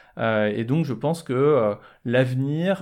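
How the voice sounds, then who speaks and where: The recording is very clean, with a silent background. A man of medium pitch talks at a very slow pace. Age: 40s. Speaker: fashion events entrepreneur. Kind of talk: podcast interview.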